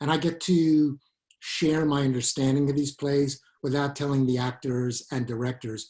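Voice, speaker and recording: Speech in a strong Brooklyn accent, at a moderate pace with fairly even intonation. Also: man. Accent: thick Brooklyn. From Brooklyn, New York. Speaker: Shakespeare professor and author. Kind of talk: interview. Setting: video call.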